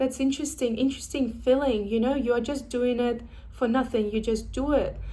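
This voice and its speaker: A woman's high-pitched voice with a dark, mellow tone and a non-native accent, moderate pace, monotone, flat intonation and audible room echo. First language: not English. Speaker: vlogger sharing personal experience. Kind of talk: personal vlog, reflective monologue. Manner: halting, with fillers and restarts.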